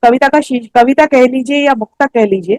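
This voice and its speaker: A woman speaks at a high pitch with ordinary pitch variation, the sound dry and close with no echo. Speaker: poet. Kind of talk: poetry reading. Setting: online poetry gathering. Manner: emotional, nostalgic.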